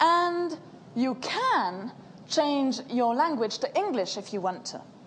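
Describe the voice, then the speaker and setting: A woman's high-pitched voice at a very slow pace, with very wide pitch swings, audible room echo and noticeable background noise. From French-speaking Switzerland. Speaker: social software consultant. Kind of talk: conference talk. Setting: talk with audience.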